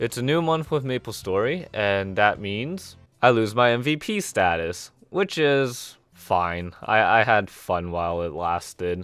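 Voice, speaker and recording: A man's fairly low voice with very wide pitch swings, a fairly slow pace and hardly any pauses, over music in the background. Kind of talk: gameplay commentary.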